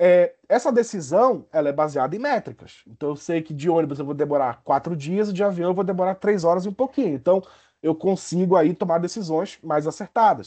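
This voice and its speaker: The speaker has a dark, mellow tone and lively intonation, moving at a fairly quick pace with hardly any pauses. The background is quiet. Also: man, high pitch for a man. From Brazil, Pará (Belém). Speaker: university professor. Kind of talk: lecture. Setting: video call. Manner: halting, many fillers and restarts.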